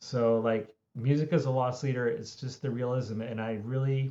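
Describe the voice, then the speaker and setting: Here a man talks at a medium pitch with ordinary pitch variation. He speaks with a Philadelphia accent. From Philadelphia, US. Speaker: music industry consultant. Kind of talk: podcast interview. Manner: conversational, many fillers.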